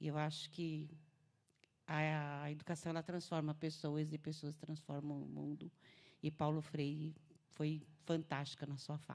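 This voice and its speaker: In a very deep, low pitch, a woman speaks with monotone, flat intonation. Her fairly slow delivery has long, frequent pauses. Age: 50s. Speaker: school director and council pre-candidate. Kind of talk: live interview.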